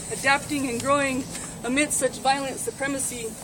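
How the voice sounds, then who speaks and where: A high-pitched woman at a moderate pace, with fairly even intonation and noticeable background noise. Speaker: activist. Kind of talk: spoken word poetry performance. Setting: live gathering.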